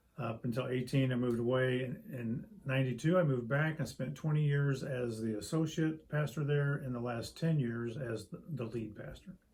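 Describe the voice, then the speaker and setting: A man with an American accent, hardly any pauses, and noticeable background noise. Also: medium pitch for a man, ordinary pitch variation, moderate pace. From US Midwest (Springfield, Illinois). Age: 60s. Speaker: pastor. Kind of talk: interview. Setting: church study. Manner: halting, with many fillers and repeats.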